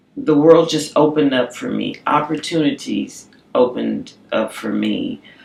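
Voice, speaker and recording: A woman keeps a moderate speed as noticeable noise sounds in the background. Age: 40s. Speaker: cancer survivor. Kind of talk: testimony. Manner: halting, repeats words.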